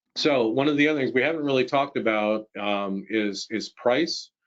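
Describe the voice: A man at a medium pitch, with a moderate pace and fairly even intonation.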